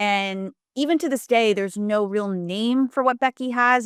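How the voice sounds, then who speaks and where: With an American accent, a woman talks at a moderate pace with ordinary pitch variation, in a dry, close sound with no echo on a very clean recording with a silent background. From US East Coast. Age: 30s. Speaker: journalist and filmmaker. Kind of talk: casual chat. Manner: halting.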